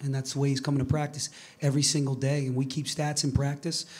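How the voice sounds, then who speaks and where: Somewhat breathy, the man talks at a fairly high pitch. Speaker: college basketball head coach. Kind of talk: press conference.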